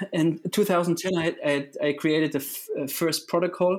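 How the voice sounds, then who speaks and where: A man with a German accent talks in a high pitch with ordinary pitch variation. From Germany. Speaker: triathlon coach. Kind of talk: interview. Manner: halting.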